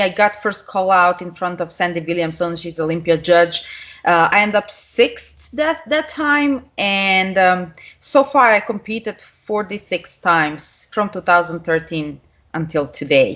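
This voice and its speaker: Over a quiet background, a woman speaks at a fairly slow pace with very wide pitch swings. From Serbia. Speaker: professional figure bodybuilder. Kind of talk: podcast interview.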